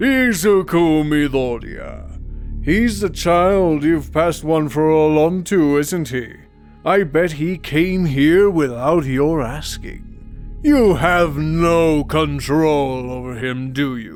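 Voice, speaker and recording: A man uses a put-on character voice at a very slow pace with hardly any pauses. Faint music plays in the background. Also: fairly high pitch for a man. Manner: menacing.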